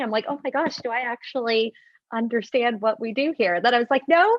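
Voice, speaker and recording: Loud and at a very fast pace, a woman talks at a high pitch with ordinary pitch variation. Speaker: corporate senior leader. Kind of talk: panel discussion.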